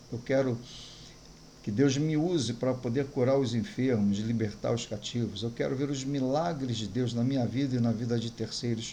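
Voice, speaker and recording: A man's somewhat breathy voice with a dark, mellow tone, medium pitch, fairly even intonation and moderate pace, amid audible room echo. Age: 60s. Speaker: pastor. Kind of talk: sermon.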